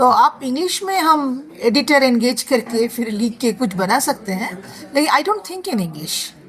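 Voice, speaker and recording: A woman with a Bengali accent speaks at a high pitch with very wide pitch swings and hardly any pauses. Noticeable background noise runs underneath. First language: Bengali (speaking Hindi). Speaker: novelist and former civil servant. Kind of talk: interview.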